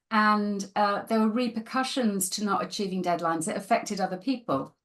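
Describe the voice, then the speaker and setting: A woman with a northern English accent speaks at medium pitch and a fairly quick pace. Her pitch variation is ordinary, and the background is quiet. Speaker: podcast host, stress management coach. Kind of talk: casual interview conversation.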